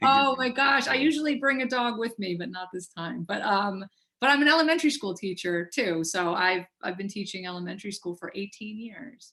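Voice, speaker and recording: An unremarkable speaking voice carries lively intonation. It runs on with hardly any pauses. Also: woman, medium pitch for a woman. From Buffalo, New York. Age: 40s. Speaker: jazz trumpeter. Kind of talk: casual chat. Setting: video call.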